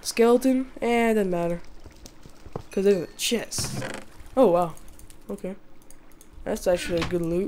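A woman speaks at a moderate pace in a medium pitch, with ordinary pitch variation, long, frequent pauses and noticeable background noise. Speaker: gaming YouTuber. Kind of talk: gameplay commentary. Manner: casual, hesitant with fillers.

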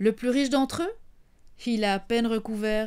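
A woman's fairly high voice at a fairly slow pace, in a very clean recording with a silent background. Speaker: storyteller. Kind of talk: bedtime story telling, intimate and warm, as if speaking to children. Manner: animated, conversational; playful, teasing, with asides to the audience.

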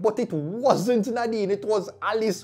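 An animated man's voice with a Jamaican accent. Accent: Jamaican, with patois. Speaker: YouTube commentary vlogger. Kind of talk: casual commentary monologue. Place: studio. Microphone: lapel.

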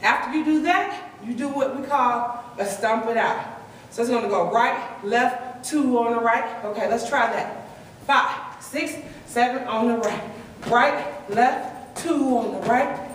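The speech moves at a fairly slow pace. Audible room echo and light background noise are present. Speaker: line dance instructor. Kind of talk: dance tutorial with rhythmic step counts. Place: hall. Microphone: camera far.

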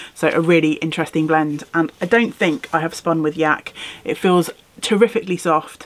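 In a British accent, the speaker talks at a moderate pace with ordinary pitch variation. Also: woman, fairly low pitch for a woman. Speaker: craft YouTuber. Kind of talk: casual vlog. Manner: animated.

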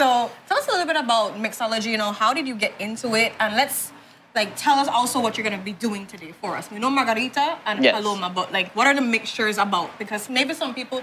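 A woman at a very fast pace, hardly any pauses, over light background noise. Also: ordinary pitch variation. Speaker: TV show co-host. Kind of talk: interview questions, casual banter. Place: studio.

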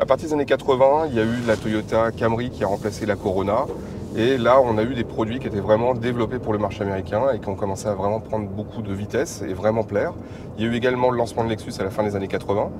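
Noticeable background noise surrounds a man talking. He goes at a very fast pace with fairly even intonation. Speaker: guest. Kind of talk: interview answer. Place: car. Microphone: lapel.

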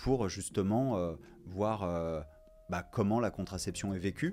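Light background noise accompanies a man speaking with lively intonation. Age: 40s. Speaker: co-founder of a contraception cooperative. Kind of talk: interview testimony. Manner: hesitant, many fillers. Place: studio. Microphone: studio mic.

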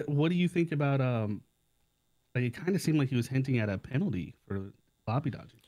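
Against a quiet background, a man with a dark, mellow tone speaks at a very fast pace with lively intonation and long, frequent pauses. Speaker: gamer friend. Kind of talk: casual chat. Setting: Discord call. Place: home room. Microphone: studio mic.

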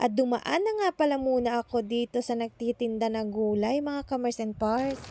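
A woman with a high pitch and a dark, mellow tone speaks at a fairly quick pace with fairly even intonation. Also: dry, close sound with no echo. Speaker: vlogger. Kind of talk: voice-over narration. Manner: stumbles over words.

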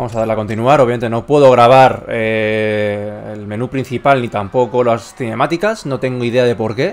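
Here a man with a plain, everyday voice talks at medium pitch. His moderate pace has hardly any pauses, and his intonation is fairly even. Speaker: gaming YouTuber. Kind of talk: gameplay commentary.

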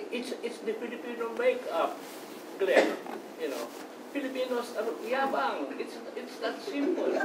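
Moderate pace, long and frequent pauses, loud background noise. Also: man. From Philippines. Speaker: audience member, writer. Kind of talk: Q&A discussion. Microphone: camera far.

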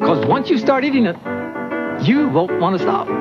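Behind the man's speech, music plays loudly. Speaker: commercial spokesman. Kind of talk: TV commercial read. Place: studio.

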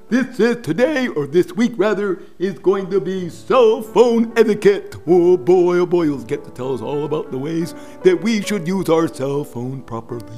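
Over clear background music, a man does a cartoonish character voice at a high pitch and a moderate pace. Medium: puppet. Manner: eager, upbeat.

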